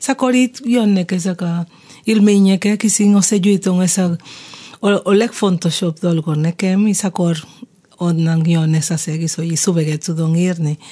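A woman speaks with a Spanish accent at a medium pitch. Her pace is fairly slow, and her pitch varies in an ordinary way. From Cuba. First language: Spanish (speaking Hungarian). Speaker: jazz singer. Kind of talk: radio interview. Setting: studio. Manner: animated.

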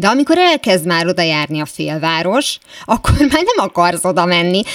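A woman with an ordinary speaking voice at a moderate pace. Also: dry, close sound with no echo. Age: 40s. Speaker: radio host. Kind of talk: radio interview.

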